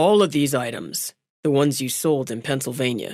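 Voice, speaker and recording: A put-on character voice, gravelly and low-to-middle in pitch, moves at a moderate pace. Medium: read story. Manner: terse, businesslike.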